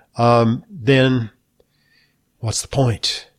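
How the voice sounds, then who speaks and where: A man's medium-pitched, somewhat breathy voice on a very clean recording with a silent background. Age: 70s. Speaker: radio health show host, doctor. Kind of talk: radio health talk show. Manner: frequent hesitations.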